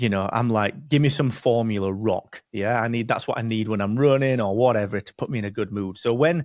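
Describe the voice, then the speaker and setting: In a Barnsley accent, a man speaks at a fairly quick pace with a medium pitch and lively intonation, the sound dry and close with no echo. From northern England, Barnsley. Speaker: podcast host. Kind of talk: casual interview.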